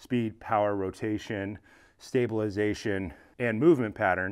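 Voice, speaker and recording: The background is quiet. A man speaks at a moderate pace. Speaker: fitness coach. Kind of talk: casual training advice talk. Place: garage.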